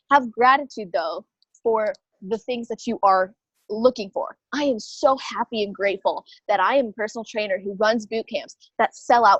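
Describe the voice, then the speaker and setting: A woman's fairly high voice, animated in tone and fairly quick, with ordinary pitch variation and a dry, close sound with no echo. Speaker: online fitness coach and mindset mentor. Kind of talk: interview. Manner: fast.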